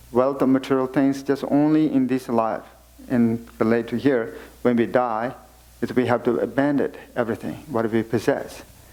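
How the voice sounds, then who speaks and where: In a Tibetan accent, a man speaks at a moderate pace and medium pitch, his dark, mellow tone holding fairly even intonation and very even loudness. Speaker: Buddhist teacher (khenpo). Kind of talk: dharma teaching.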